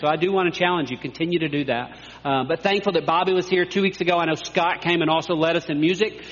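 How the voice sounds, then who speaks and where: A man at a very fast pace, fairly even in intonation, with noticeable background noise. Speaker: pastor. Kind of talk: sermon. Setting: church.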